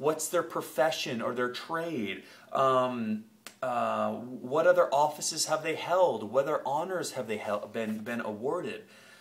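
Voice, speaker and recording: Speaking at a fairly slow pace, a man uses a medium pitch with an American accent. His pitch varies in an ordinary way. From Maine, US (Ellsworth area). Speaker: marketing copywriter. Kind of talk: tutorial. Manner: hesitant, many fillers.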